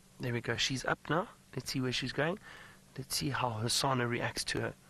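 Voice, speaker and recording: A bright, sharp tone with vocal fry and ordinary pitch variation. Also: man, medium pitch for a man, moderate pace. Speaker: safari guide presenter. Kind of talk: live commentary. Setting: outdoors in a safari vehicle. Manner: lowered voice near the leopards.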